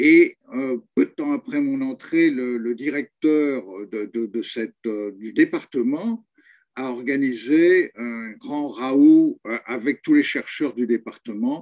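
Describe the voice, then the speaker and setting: A man speaks at a very slow pace. The sound is dry and close, with no echo. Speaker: retired rural sociologist. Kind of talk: oral history testimony. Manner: hesitant, many fillers and repetitions.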